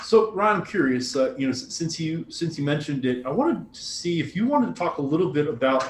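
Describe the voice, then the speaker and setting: Over noticeable background noise, a man with an American accent talks very fast with hardly any pauses, lively intonation, and a fairly high pitch. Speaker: podcast co-host. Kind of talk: casual business chat.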